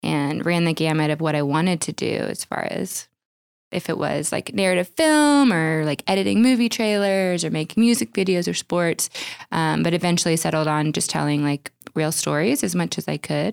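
A plain, everyday voice from a woman, fairly low-pitched, with lively intonation and a moderate pace, dry and close with no echo, on a very clean recording with a silent background. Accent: American. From Oklahoma. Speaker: wedding videographer. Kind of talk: casual interview.

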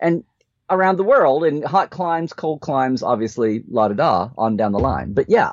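The speaker moves at a moderate pace, the pitch swinging very widely. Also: man, fairly high pitch for a man. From Oklahoma. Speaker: podcast co-host, Star Trek expert. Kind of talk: casual chat. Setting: live stream.

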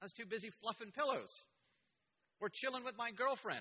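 A man's raised, projected voice, extremely high in pitch, with a bright, sharp tone. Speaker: church elder preaching. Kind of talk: sermon. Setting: church with congregation.

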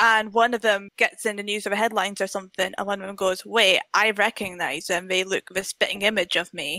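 The voice has a bright, sharp tone and fairly even intonation. It moves at a fairly quick pace with hardly any pauses. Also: woman, medium pitch for a woman. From UK. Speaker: film blogger. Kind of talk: casual chat.

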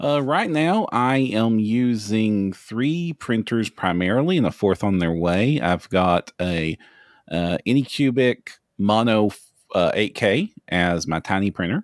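At a fairly slow pace and fairly low pitch, a man speaks with lively intonation and very even loudness, recorded dry and close with no echo and a silent background in a very clean recording. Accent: Kentucky. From US, Kentucky. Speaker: 3D printing hobbyist, tabletop gaming industry manager. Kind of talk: casual podcast chat.

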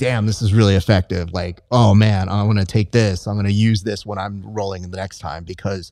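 In a very clean recording with a silent background, a man with an unremarkable speaking voice and a fairly low pitch talks at a moderate pace. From US, Mexican-American. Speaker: podcast host, jiu-jitsu competitor. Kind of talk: casual interview. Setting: jiu-jitsu gym.

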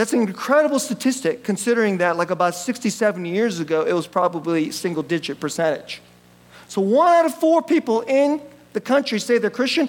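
High in pitch, a man with an American accent lets his voice swing very widely up and down. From US (city of his church), born in Korea. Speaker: pastor. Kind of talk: sermon. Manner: conversational, with laughs.

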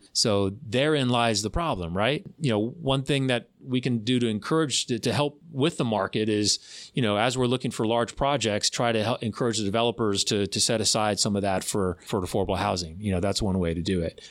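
A man with an ordinary speaking voice talks at a fairly quick pace, hardly pausing, with a medium pitch, ordinary pitch variation and very even loudness. The recording is very clean, with a silent background. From Florida. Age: middle-aged. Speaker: county commissioner. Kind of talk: casual interview. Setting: studio.

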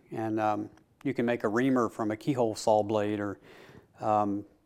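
In a Tennessee accent, at a moderate pace. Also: man. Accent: US Southern (Tennessee). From Middle Tennessee. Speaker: chairmaker and woodworking teacher. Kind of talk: casual interview. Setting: woodworking shop. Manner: hesitant with many fillers.

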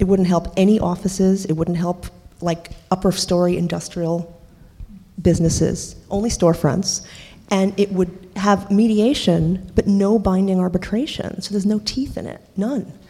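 A woman with an American accent talks at a moderate pace in a dark, mellow tone. Her voice is somewhat breathy and her intonation fairly even. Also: medium pitch for a woman. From New York City (Washington Heights). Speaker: painter and housing activist. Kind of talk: panel discussion.

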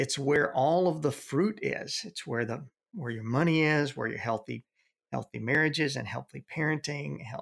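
Medium-pitched male voice with vocal fry and ordinary pitch variation, moderate pace, dry and close with no echo. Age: 60s. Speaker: youth ministry veteran and consultant. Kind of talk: interview. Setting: home office.

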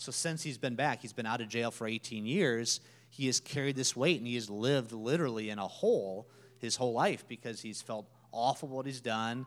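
A man with an American accent and an unremarkable speaking voice, medium in pitch with ordinary pitch variation, at a fairly quick pace, on a very clean recording with a silent background. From Minnesota. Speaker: nonprofit staff member. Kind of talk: church interview testimony.

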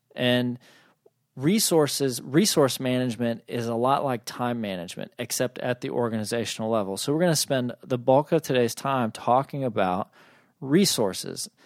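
A man with an unremarkable speaking voice and a medium pitch talks at a moderate pace with ordinary pitch variation, captured in a very clean recording with a silent background and a dry, close sound with no echo. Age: 40s. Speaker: podcast host and strategic planning consultant. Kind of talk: solo business podcast monologue. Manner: casual, conversational with filler words.

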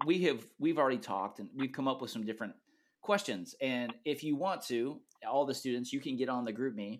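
In a very clean recording with a silent background, a man with an ordinary speaking voice talks fairly quickly at a medium pitch with ordinary pitch variation. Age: 30s. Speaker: youth pastor. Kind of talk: casual chat.

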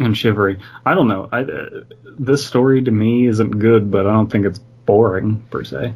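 This is someone reading aloud in a natural voice.

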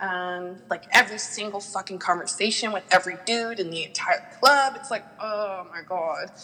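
A woman with a medium pitch talks in an enthusiastic tone at a moderate pace, with ordinary pitch variation and hardly any pauses. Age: 20s. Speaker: exotic dancer. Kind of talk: casual interview chat. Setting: remote recording, not face to face.

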